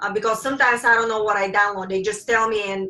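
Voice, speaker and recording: With music playing behind her, a woman speaks at a fairly high pitch with fairly even intonation. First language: not English. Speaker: spiritual teacher. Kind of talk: lecture. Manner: intense, can sound angry.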